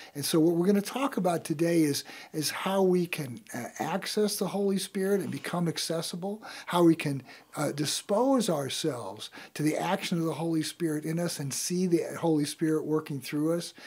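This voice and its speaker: At a moderate pace, a man with a high voice speaks with ordinary pitch variation. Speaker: radio show host. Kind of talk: radio talk show commentary. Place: studio. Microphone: studio mic.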